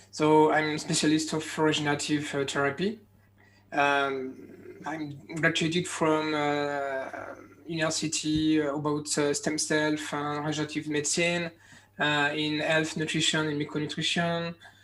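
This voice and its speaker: Someone with a French accent speaks at a moderate pace in a monotone, flat intonation, in a very clean recording with a silent background. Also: man, fairly high pitch for a man. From France. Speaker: medical doctor. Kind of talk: conference talk. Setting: virtual conference. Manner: halting, many fillers.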